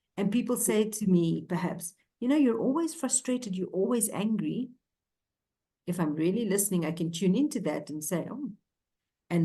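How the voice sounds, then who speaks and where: A woman's somewhat breathy, dark, mellow voice at medium pitch, with lively intonation and a moderate pace. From South Africa, Cape Town. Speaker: ontological coach. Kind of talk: interview conversation.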